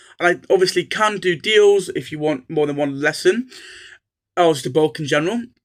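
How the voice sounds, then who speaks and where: Speaking in a North Welsh accent, a man talks at a fairly quick pace with a high pitch. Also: ordinary pitch variation. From North Wales. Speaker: Welsh language tutor. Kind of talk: casual channel introduction. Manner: hesitant with many fillers.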